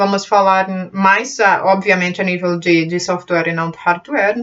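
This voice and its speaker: At a medium pitch, a woman keeps her speech at a moderate pace. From Portugal (born in Brazil). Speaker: computer skills teacher, channel owner. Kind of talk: casual channel talk to camera. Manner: halting, with fillers.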